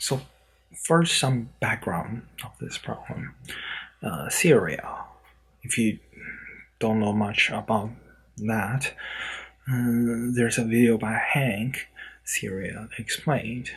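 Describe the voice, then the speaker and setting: A quiet man at a medium pitch, very slow pace, long and frequent pauses, and ordinary pitch variation. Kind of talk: vlog to camera. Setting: indoors, in a room at night. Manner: hushed, keeping voice down; halting, with fillers.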